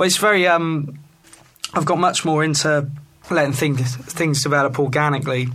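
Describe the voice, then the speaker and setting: Over noticeable background noise, a man with a fairly high pitch speaks at a moderate pace, with very even loudness and fairly even intonation. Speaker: rockabilly singer and guitarist. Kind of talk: casual interview. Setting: studio. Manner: hesitant, many fillers.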